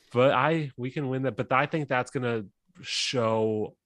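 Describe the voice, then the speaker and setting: On a very clean recording with a silent background and a dry, close sound with no echo, a man with an unremarkable speaking voice talks at a medium pitch with ordinary pitch variation. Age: 30s. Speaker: sports podcast guest, football fan. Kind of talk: casual chat.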